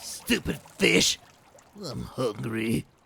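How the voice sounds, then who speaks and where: A man's raspy, medium-pitched cartoonish character voice. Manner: loud, brash.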